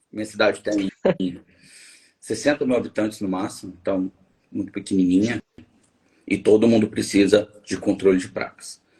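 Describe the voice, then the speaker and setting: Somewhat breathy, a man speaks with long, frequent pauses. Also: fairly low pitch for a man, moderate pace. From Minas Gerais, Brazil. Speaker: biologist and environmental engineer, live show host. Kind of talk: live stream interview. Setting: online live stream. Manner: animated.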